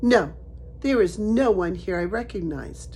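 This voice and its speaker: A woman performs a put-on character voice at a moderate pace. Clear background noise runs behind her. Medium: read story. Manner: quiet, guarded.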